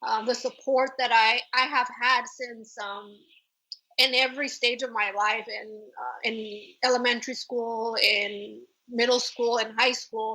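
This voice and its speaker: Bright, sharp voice in a Spanish accent, fairly slow, with monotone, flat intonation. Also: woman, high pitch for a woman. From Mexico, raised in Oregon, US. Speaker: ultra trail runner and marketing head. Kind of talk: podcast interview.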